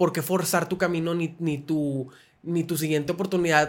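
Speaking at a moderate pace, a man keeps his high voice monotone and flat. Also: very clean recording, silent background. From Monterrey, northern Mexico. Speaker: podcast host. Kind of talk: interview.

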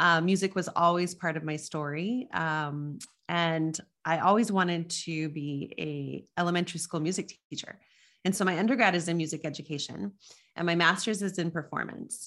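A woman with an American accent has a plain, everyday voice, fairly low in pitch with ordinary pitch variation, speaking at a moderate pace against a quiet background. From US Southwest, Las Cruces, New Mexico. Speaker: leadership coach, former opera singer. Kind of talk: interview conversation.

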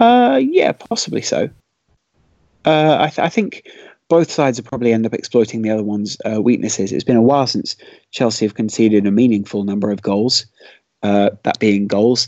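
In a plain, everyday voice of medium pitch, a man talks at a fairly quick pace with ordinary pitch variation, the sound dry and close with no echo. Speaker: football podcast co-host. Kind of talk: casual chat.

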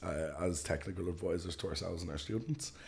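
Very deep and low, a man's dark, mellow, somewhat breathy voice comes through with an Irish accent. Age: 20s. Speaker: flight school founder. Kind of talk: interview conversation. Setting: studio.

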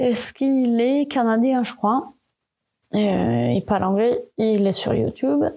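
With a non-native accent, a woman speaks at a very slow pace in a fairly high pitch, her tone dark and mellow and her loudness very even. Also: ordinary pitch variation. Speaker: podcast host, communication designer. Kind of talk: solo podcast monologue. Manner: hesitant, many fillers and repetitions.

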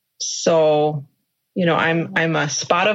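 Speaking at a very slow pace, a woman with an American accent uses a fairly low pitch. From Minnesota, US Midwest. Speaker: dog owner, therapy dog handler. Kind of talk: interview. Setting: video call.

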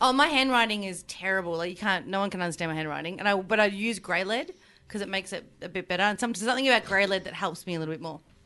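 A woman's very fast, lively delivery at a medium pitch, with an Australian accent. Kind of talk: casual panel-show banter.

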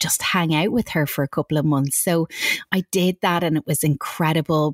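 In an Irish accent, a woman speaks with a very deep, low pitch and fairly even intonation, the sound dry and close with no echo. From Ireland. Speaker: author and coach. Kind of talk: interview chat.

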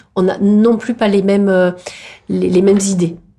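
Over noticeable background noise, a woman talks with monotone, flat intonation. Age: 50s. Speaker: politician and doctor. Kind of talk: interview. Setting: meeting room. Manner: halting, many hesitations.

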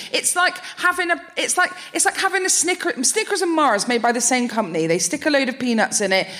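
A woman projects a raised, high-pitched voice with very wide pitch swings and very even loudness. She talks at a fairly quick pace with hardly any pauses over noticeable background noise. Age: 30s. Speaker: comedian. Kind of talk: live comedy podcast banter. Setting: stage with audience.

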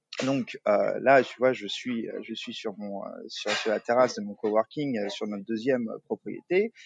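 Fairly slow speech with big swings in loudness and a dry, close sound with no echo. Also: man. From Paris suburbs, France. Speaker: co-founder of a coworking business. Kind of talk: interview. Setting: remote call from a coworking terrace. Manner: halting, many fillers and repetitions.

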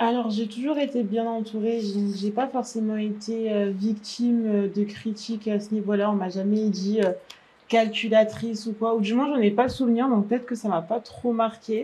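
Her pitch fairly high, a woman talks at a moderate pace. The intonation stays monotone and flat. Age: 20s. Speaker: patient sharing her experience. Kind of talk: interview testimony.

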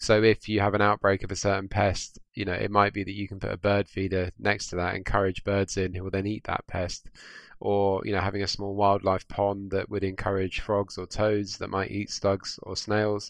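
On a very clean recording with a silent background, a man with a southern English accent talks at a moderate pace and fairly low pitch, monotone and flat, with hardly any pauses. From southwest London, England. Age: young. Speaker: garden designer. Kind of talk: interview. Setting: studio.

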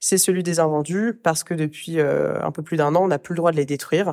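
With a dark, mellow tone, a woman speaks at a moderate pace and fairly even intonation. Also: dry, close sound with no echo. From Paris region, France. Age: 30s. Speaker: fashion business co-founder. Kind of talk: interview.

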